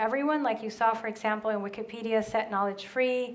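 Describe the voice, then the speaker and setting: Audible room echo follows a woman talking at a very fast pace in a fairly high pitch with fairly even intonation. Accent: Spanish. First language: Spanish. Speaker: brand strategist. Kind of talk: conference Q&A. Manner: casual, many fillers.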